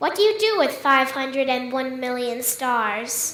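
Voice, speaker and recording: A woman puts on a character voice in a high pitch with lively intonation. She speaks at a fairly slow pace, with a slight echo. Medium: stage play. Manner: curt, matter-of-fact.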